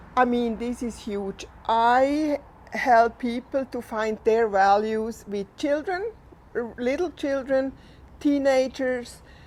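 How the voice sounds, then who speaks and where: A woman with a Swiss German accent speaks at a very slow pace in a high pitch with ordinary pitch variation. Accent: non-native, Swiss German. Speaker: equine assisted therapist and registered nurse. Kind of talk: unscripted talk to camera. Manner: halting, unscripted.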